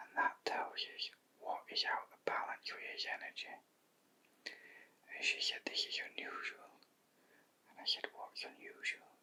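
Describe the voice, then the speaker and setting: A man whispers at a fairly slow pace. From Yorkshire, England. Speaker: shiatsu practitioner. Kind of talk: ASMR bedtime story. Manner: whispered.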